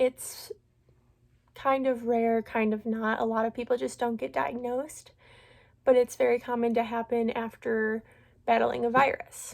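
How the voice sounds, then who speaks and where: A woman with a fairly high pitch speaks at a moderate pace, using fairly even intonation. She leaves long, frequent pauses on a very clean recording with a silent background. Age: 20s. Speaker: vlogger sharing illness story. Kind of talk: personal testimony vlog. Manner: casual with frequent filler words.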